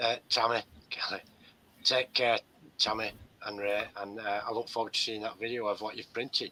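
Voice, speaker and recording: A man speaks at a moderate pace and a medium pitch, his tone bright and sharp. His intonation is monotone and flat, with long, frequent pauses. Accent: English. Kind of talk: casual chat.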